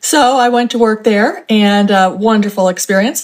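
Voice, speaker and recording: This woman has an unremarkable speaking voice with an American accent. She talks at a moderate pace with ordinary pitch variation. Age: 60s. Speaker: author and couponing expert. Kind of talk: interview.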